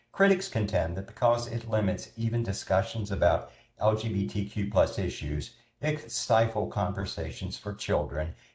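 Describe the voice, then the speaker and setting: With an American accent, a man speaks at a moderate pace and fairly low pitch, somewhat breathy, with lively intonation. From North Carolina. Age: 60s. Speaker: film festival coordinator. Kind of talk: prepared talk.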